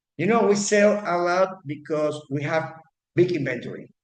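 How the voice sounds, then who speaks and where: A fairly high-pitched man's voice with ordinary pitch variation. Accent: non-native. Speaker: real estate agent. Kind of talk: class. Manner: halting, many repetitions.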